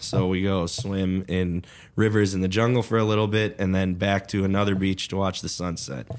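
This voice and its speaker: An American-accented man with a very deep, low voice, fairly even intonation and a moderate pace. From Chicago suburbs, Illinois. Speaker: cannabis grower and business owner. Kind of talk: casual interview chat.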